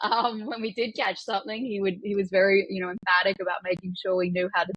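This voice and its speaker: Speaking at a fairly quick pace, a woman with an American accent keeps a medium pitch and fairly even intonation. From Australia (country Australia). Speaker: business executive and hunter. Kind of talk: podcast interview. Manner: repetitive false starts.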